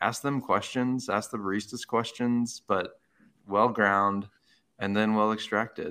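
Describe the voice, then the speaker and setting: On a very clean recording with a silent background, a man with an American accent uses an ordinary speaking voice at a fairly low pitch, with fairly even intonation and a fairly slow pace. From Arizona. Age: 30s. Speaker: coffee shop owner, military veteran. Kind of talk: casual interview chat.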